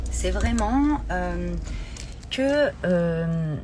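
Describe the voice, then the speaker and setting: A woman's voice carries audible room echo. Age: 40s. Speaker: life coach. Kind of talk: live stream talk. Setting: Instagram live. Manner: hesitant, many fillers.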